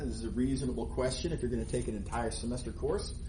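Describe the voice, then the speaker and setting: The speech comes at a very fast pace, with audible room echo and noticeable background noise. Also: man. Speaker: math professor. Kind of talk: lecture. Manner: loud.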